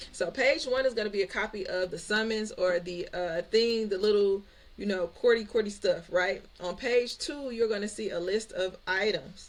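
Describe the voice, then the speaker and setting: A woman talks with a fairly high pitch and ordinary pitch variation. Her tone is animated. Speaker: credit repair and business coach, YouTuber. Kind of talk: tutorial. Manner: fast; casual, animated.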